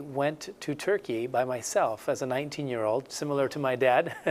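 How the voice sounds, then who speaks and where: A man talks at a fairly quick pace in a fairly high voice. His pitch varies in an ordinary way. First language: Spanish. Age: 40s. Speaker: missionary. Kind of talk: interview.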